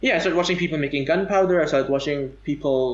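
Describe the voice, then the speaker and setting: With vocal fry and ordinary pitch variation, a man talks at a fairly high pitch and a very fast pace. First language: non-English native tongue. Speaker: podcast guest. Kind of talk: casual chat. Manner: halting.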